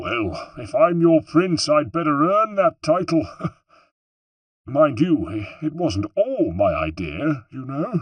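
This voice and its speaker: Fairly slow delivery in a put-on character voice. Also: man, fairly high pitch for a man. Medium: read story.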